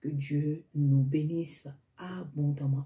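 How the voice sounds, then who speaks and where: A woman speaks very slowly with a non-native accent, her intonation fairly even. Her pitch is very deep and low, the tone dark and mellow, somewhat breathy. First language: not French (speaking French). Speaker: preacher. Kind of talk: sermon. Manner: halting.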